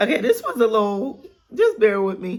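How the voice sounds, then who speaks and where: Animated and somewhat breathy, a woman speaks at fairly high pitch. Her intonation is lively. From Pittsburgh, Pennsylvania, US. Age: 30s. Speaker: podcast host. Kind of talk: casual monologue.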